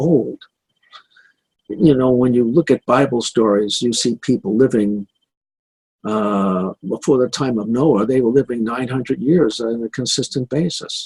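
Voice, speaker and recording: A man speaks at a moderate pace in a medium-pitched, somewhat breathy voice. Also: dry, close sound with no echo. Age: 70s. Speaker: anti-aging physician and show host. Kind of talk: health talk show monologue.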